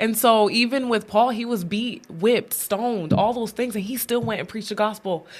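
In an ordinary speaking voice, a woman with a fairly high pitch and fairly even intonation speaks at a moderate pace with hardly any pauses. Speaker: podcast host. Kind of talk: casual devotional chat. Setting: studio.

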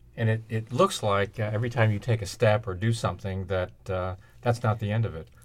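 A man's fairly low, somewhat breathy voice at a fairly quick pace, in a very clean recording with a silent background. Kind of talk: radio station break patter: brisk, polished host promo and station ID. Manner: smooth, clear, upbeat broadcaster delivery with a steady, welcoming cadence.

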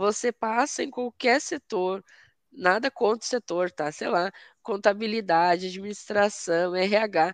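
Recorded with a dry, close sound with no echo, a woman speaks at a very slow pace with a fairly high pitch and ordinary pitch variation. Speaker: cloud security specialist. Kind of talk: technical live stream chat. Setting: online live stream.

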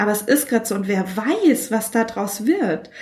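Somewhat breathy, a woman talks at a moderate pace in a medium pitch. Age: 30s. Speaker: podcaster. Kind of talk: casual chat.

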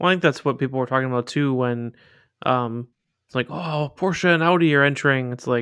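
On a very clean recording with a silent background, a man with a normal speaking voice talks at a medium pitch and moderate pace with fairly even intonation. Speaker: podcast co-host. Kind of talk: casual chat. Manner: dry, deadpan humor.

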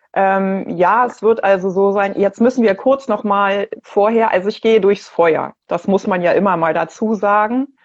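Speaking at a fairly slow pace, a woman has an ordinary speaking voice at medium pitch. Her intonation is fairly even and her loudness very even. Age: 50s. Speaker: cancer patient. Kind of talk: casual chat. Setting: video call.

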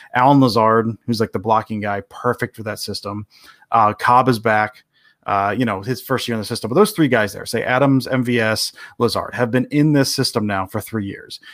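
A man with an American accent and an unremarkable speaking voice, medium in pitch, at a moderate pace with fairly even intonation, in a dry, close sound with no echo. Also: very clean recording, silent background. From Detroit area, Michigan. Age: 40s. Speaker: sports writer and podcaster. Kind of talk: casual interview chat.

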